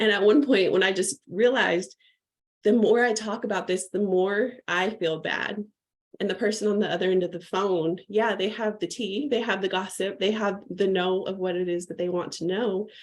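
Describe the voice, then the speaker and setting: This woman's voice sits at a medium pitch and moves at a moderate pace. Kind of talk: livestream talk to community. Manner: animated.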